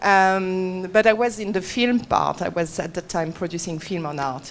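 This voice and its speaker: Fairly slow speech in a French accent, with ordinary pitch variation. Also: woman. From France. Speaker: gallery owner. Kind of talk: panel discussion. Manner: halting.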